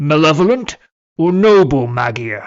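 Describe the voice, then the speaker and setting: Here a man puts on a character voice at a fairly high pitch. He moves at a fairly slow pace with very wide pitch swings. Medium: read story. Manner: grandiloquent, archaic, heroic.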